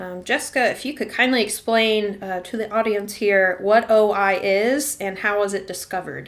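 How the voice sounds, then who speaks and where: With an American accent and a normal speaking voice, a woman speaks at a moderate pace in a fairly high pitch with ordinary pitch variation. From Arkansas, US South. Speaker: podcast host. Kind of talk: casual interview chat.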